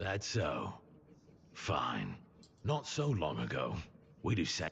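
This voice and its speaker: Putting on a character voice, a man talks raspy and fairly low-pitched at a fairly slow pace. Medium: audio drama.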